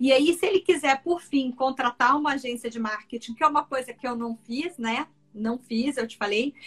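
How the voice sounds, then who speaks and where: A woman speaks at a moderate pace in a high pitch. Her pitch variation is ordinary. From Brazil, Mato Grosso (Cuiabá). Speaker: ENT doctor. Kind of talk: interview conversation.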